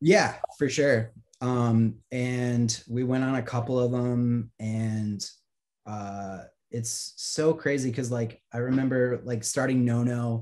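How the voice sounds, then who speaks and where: Speaking at a very slow pace with an American accent, a man uses a medium pitch and fairly even intonation. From Virginia, US. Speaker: musician and graphic designer. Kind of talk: casual chat.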